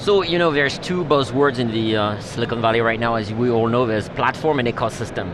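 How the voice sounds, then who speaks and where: With a French accent, a man speaks at medium pitch with ordinary pitch variation, hardly any pauses and very even loudness, amid audible room echo and noticeable background noise. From France. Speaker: tech executive. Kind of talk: interview. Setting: live stream desk at trade show. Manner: halting.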